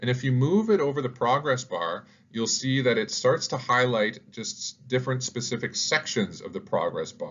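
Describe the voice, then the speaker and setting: With vocal fry and lively intonation, a man speaks at a medium pitch and a moderate pace. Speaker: educational YouTuber, teacher. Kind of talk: tutorial.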